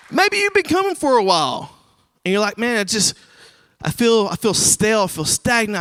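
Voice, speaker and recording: A man speaks loudly at a high pitch and a fairly quick pace, with lively intonation. The sound is dry and close, with no echo. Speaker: recovery ministry leader. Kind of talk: sermon. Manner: casual.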